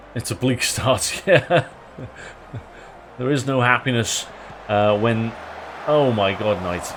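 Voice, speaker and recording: Over noticeable background noise, the speech comes at a very slow pace with long, frequent pauses and ordinary pitch variation. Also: man, medium pitch for a man. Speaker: streamer playing football manager game. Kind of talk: live stream commentary. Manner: slurs words; casual, many fillers.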